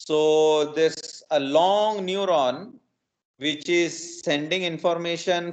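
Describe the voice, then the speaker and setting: The speaker is a man. His pitch is fairly high. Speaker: professor. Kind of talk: lecture. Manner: halting, many fillers.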